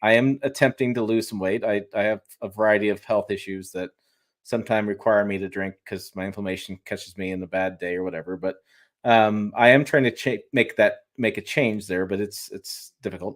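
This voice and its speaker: A man mumbles in a Michigan accent at a fairly low pitch. His intonation is fairly even and his pace fairly quick. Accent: US Midwest (Michigan). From Michigan, Detroit. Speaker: automotive YouTuber and journalist. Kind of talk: casual interview on live stream. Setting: home studio, live stream video call. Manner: fast; mumbling.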